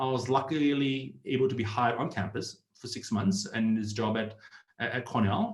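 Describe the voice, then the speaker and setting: At a moderate pace, a man talks at medium pitch with ordinary pitch variation. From Australia, Sydney. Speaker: startup community founder, ex-tech employee. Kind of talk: online presentation. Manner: hesitant, with fillers.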